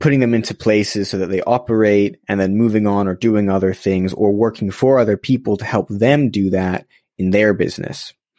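Speaking in a normal speaking voice with an American accent, a man keeps a moderate pace, fairly low pitch and fairly even intonation, the sound dry and close with no echo. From Los Angeles, US. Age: young. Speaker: social entrepreneur and podcast host. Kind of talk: casual interview conversation.

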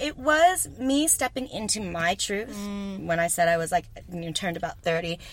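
A woman with a Texan accent speaks at a moderate pace, somewhat breathy, with very wide pitch swings. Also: medium pitch for a woman. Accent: Texan American English. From Texas. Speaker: yoga teacher. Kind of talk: casual chat. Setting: in a van at a festival.

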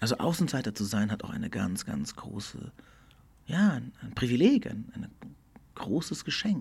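With vocal fry and very wide pitch swings, a man speaks at a medium pitch and moderate pace, broken by long, frequent pauses. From Portugal, German school. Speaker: podcast host. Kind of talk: solo reflective monologue. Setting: studio. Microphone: good studio equipment.

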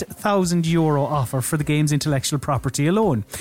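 Here a man is speaking. His pace is fairly quick. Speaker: podcast host. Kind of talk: casual chat.

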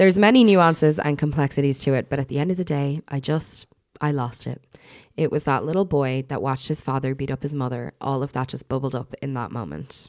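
Her very deep, low pitch carries ordinary pitch variation as the woman talks at a fairly quick pace, the sound dry and close with no echo. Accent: Irish. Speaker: podcast host. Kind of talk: casual chat.

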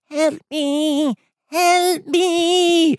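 A put-on character voice shouts out. It is squeaky and extremely high in pitch. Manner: screaming, desperate.

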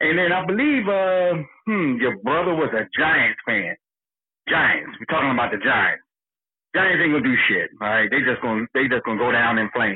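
In an American accent, a man talks at a moderate pace with a fairly high pitch, very wide pitch swings and very even loudness. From Philadelphia. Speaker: caller. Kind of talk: casual chat. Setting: phone call.

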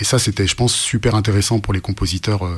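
A man with fairly even intonation. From France, urban upbringing. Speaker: author and rapper. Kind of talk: radio interview. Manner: halting with many repetitions.

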